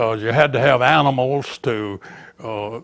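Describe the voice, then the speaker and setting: A man with an Alabama accent speaks at a fairly slow pace with ordinary pitch variation, on a very clean recording with a silent background. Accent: Southern US (Alabama). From US South, Baldwin County, Alabama. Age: 90s. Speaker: retired teacher and local historian. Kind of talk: oral history interview. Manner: halting, frequent fillers and repeats.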